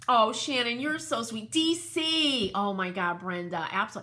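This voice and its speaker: Animated and with very wide pitch swings, a woman talks in a New England accent. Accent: New England twang. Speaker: crafter and home decor livestreamer. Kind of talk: casual livestream chat. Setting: live video stream.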